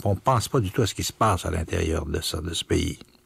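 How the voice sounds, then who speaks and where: A man speaks with a fairly low, somewhat breathy voice. The sound is dry, with no echo. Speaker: radio host. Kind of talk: radio commentary on a book. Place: studio.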